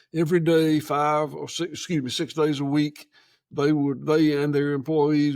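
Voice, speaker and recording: With a rural Georgia accent, a man talks at a fairly slow pace and a fairly high pitch in a monotone, flat delivery. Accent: Southern US (rural Georgia). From US South. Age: 70s. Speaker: farmer. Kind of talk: casual chat. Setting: on location at his farm. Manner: halting.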